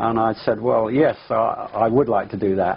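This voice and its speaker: In an English accent, a man speaks at a fairly quick pace with fairly even intonation. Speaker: pilot. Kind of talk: interview testimony. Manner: hesitant, many fillers.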